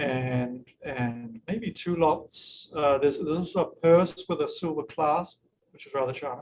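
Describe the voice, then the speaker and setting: Here a man with a New Zealand accent talks at a moderate pace in a fairly high pitch with ordinary pitch variation. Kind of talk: informal virtual gallery tour with Q&A. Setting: video call. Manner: hesitant, many fillers and repeats.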